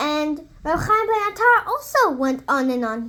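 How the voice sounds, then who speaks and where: Putting on a squeaky character voice, a woman speaks at a moderate pace and an extremely high pitch with very wide pitch swings. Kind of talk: bedtime story. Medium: read story.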